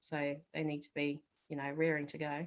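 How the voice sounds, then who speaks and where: A woman with a New Zealand accent speaks in a very deep, low pitch at a moderate pace. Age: 40s. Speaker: accountant. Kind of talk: interview.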